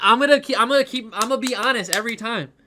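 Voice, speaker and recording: A man's raised, projected voice has a bright, sharp tone and an animated tone, on a very clean recording with a silent background. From Ohio, Cleveland. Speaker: streamer. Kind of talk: casual live-stream chat, album ranking. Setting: live stream.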